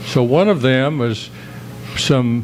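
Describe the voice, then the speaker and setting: Against noticeable background noise, a man with an American accent talks at a medium pitch with ordinary pitch variation. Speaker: citizen speaking at council meeting. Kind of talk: public comment at council meeting. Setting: council chambers, public meeting. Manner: loud; halting. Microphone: too quiet, backed off the mic.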